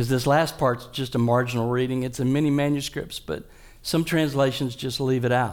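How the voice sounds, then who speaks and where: The man has a normal speaking voice at medium pitch, talking at a moderate pace with fairly even intonation. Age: 60s. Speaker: guest preacher. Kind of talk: sermon. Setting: church.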